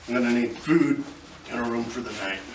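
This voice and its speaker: A man at a medium pitch does a put-on character voice at a fairly quick pace with fairly even intonation, with clear background noise and a slight echo. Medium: comedy sketch. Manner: blunt, terse.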